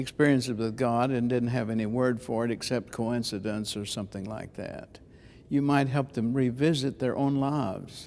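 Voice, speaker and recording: At a moderate pace, a man speaks in an unremarkable speaking voice, medium in pitch with fairly even intonation. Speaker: preacher and preaching teacher. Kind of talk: interview answer about preaching.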